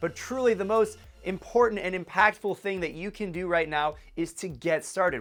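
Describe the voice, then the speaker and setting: Music plays behind a man with a high-pitched voice. His tone is energetic and his intonation lively. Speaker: entrepreneur vlogger. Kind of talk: advice vlog talk to camera. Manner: fast.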